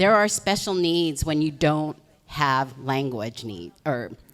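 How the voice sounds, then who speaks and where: A woman's very deep, low pitch with lively intonation, at a fairly slow pace. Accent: American. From Los Angeles, Koreatown area. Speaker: political candidate. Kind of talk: candidate opening statement.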